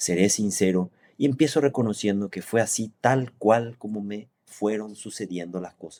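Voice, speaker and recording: At a moderate pace, the dark, mellow voice shows ordinary pitch variation and big swings in loudness. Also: man, fairly low pitch for a man. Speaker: engineer and business owner. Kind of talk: reading aloud. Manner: formal.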